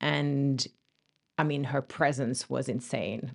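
Against a quiet background, a woman speaks with a very deep, low pitch and vocal fry. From France. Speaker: spiritual guide and healer. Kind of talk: casual chat.

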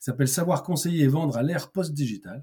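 Somewhat breathy and dark, mellow in tone, a man speaks with ordinary pitch variation. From Paris region, France. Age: 50s. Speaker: sales trainer and consultant. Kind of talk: interview. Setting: podcast. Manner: halting, many repetitions and fillers.

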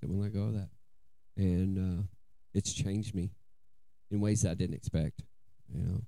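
Dark and mellow in tone, a man with an American accent talks at a moderate pace with fairly even intonation and long, frequent pauses. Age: 40s. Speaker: recovering addict. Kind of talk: testimony.

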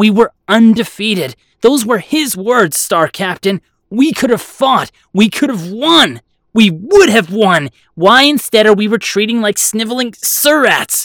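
A put-on character voice is performed at a fairly high pitch. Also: fairly slow pace. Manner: strident, accusing, outraged.

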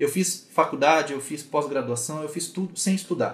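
Delivery is at a moderate pace, with intonation that is lively. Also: man. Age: 30s. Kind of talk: online mentoring talk. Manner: casual.

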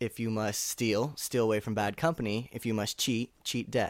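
The recording is very clean, with a silent background. The speaker talks at a moderate pace in a Californian accent. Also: man. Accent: General American (California). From Northern California. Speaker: actor. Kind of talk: casual chat.

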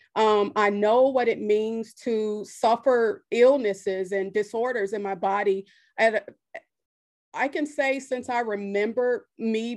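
A woman with an unremarkable speaking voice, fairly high in pitch, with fairly even intonation against a quiet background. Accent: American. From US Midwest, south side of Chicago. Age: 30s. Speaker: women's life coach. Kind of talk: interview testimony.

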